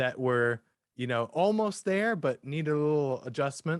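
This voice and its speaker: Lively in intonation, a man with an ordinary speaking voice talks at a moderate pace and a fairly high pitch. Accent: American. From United States. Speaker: singer-songwriter. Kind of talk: interview.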